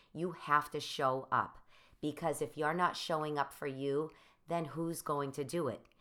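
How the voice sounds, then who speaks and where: Very deep, low pitch for a woman, with a bright, sharp tone, an animated delivery, ordinary pitch variation, a moderate pace, and a very clean recording over a silent background. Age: 40s. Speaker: motivational podcast host and life coach. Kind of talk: motivational talk.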